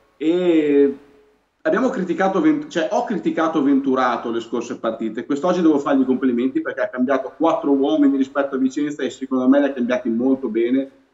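Amid audible room echo, a man speaks very fast in a fairly high pitch with ordinary pitch variation. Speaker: guest football fan commentator. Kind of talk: commentary. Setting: video call. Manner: excited, enthusiastic. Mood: pleased, upbeat about the win. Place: home room. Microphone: video call.

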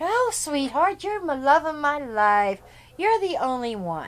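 A put-on character voice, high-pitched with very wide pitch swings, moves at a fairly slow pace. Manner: sarcastic, mocking, sweet-talking.

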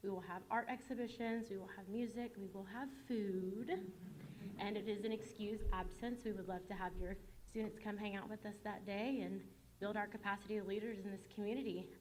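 A woman speaks fairly quickly at a medium pitch with fairly even intonation, with audible room echo and noticeable background noise. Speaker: nonprofit communications manager. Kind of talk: public presentation at board meeting. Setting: school board meeting with audience. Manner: fast.

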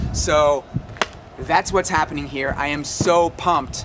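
Noticeable background noise accompanies a man who speaks at a moderate pace. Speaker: sports vlogger. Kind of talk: casual vlog chat. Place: stadium. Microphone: camera far.

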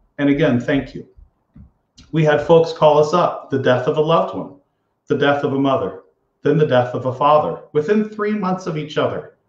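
Fairly high male voice with some breathiness. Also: ordinary pitch variation, moderate pace. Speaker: financial advisor. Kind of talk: live show address to clients. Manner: sincere, conversational.

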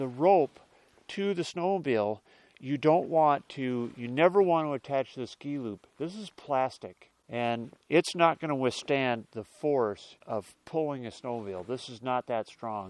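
The male voice moves along rather slowly. Its pitch rises and falls in a lively way. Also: dry sound with no echo. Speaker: snowmobile owner demonstrating. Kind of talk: tutorial. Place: open country.

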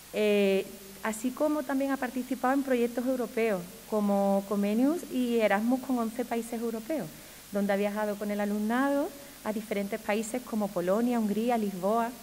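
This woman's voice is fairly high in pitch, with ordinary pitch variation. She talks at a moderate pace over light background noise. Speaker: municipal education official presenting the ceremony; presenter. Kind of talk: ceremony presentation. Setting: stage with audience. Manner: formal. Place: hall. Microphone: podium.

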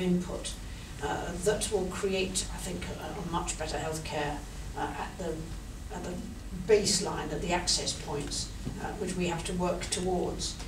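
Noticeable background noise runs behind a woman talking at a moderate tempo. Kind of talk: formal speech, partly improvised. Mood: earnest, measured. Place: meeting room. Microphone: camera far.

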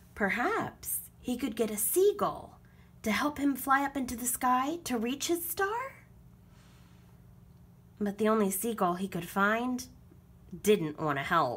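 Her pitch fairly high and swinging very widely, a woman speaks at a fairly slow pace with long, frequent pauses. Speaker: children's book reader. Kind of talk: children's storybook read-aloud. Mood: gentle storytelling tone. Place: home room. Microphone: phone near.

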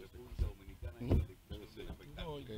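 Loud background noise runs under a man's speech. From Dominican Republic. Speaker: radio announcer. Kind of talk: interview answer. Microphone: studio mic.

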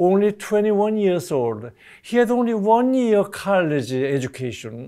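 A man with a Korean accent and a high pitch speaks at a very slow pace, making very wide pitch swings in a dark, mellow tone against a quiet background. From South Korea. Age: 80s+. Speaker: retiree sharing family history; interviewee. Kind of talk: personal testimony interview. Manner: halting, frequent uh fillers. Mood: reflective, warm. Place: studio. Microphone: lapel.

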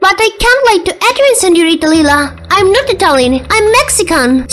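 Extremely high-pitched put-on character voice, delivered at a moderate pace. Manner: polite, flustered.

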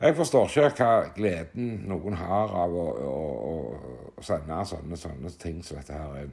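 A man with a very deep, low pitch and vocal fry speaks at a fairly slow pace, his intonation lively and his loudness swinging widely against a quiet background. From Norway. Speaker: landowner commenting on a municipal complaint. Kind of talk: monologue commentary. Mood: frustrated, critical. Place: open country. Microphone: phone near.

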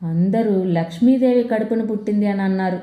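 In a room with strong echo, a woman talks in a medium-pitched, dark, mellow tone.

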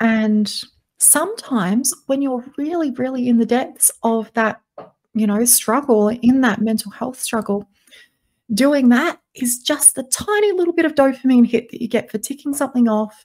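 Speech comes at a moderate pace with an Australian accent and ordinary pitch variation. The background is quiet. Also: woman, high pitch for a woman. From South Australia, Adelaide; South Australia. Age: 20s. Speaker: podcast guest, voice coach. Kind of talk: interview. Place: home room. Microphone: studio mic.

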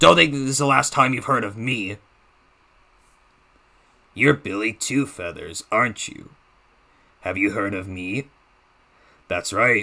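A raspy, put-on character voice carries a menacing tone at a fairly slow pace, with ordinary pitch variation. Loudness swings widely, and long pauses come often. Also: man, medium pitch for a man. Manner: menacing, taunting.

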